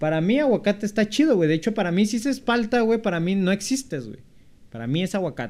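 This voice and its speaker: A man talks at a very fast pace and a high pitch. His intonation is lively. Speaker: podcast co-host. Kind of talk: casual chat.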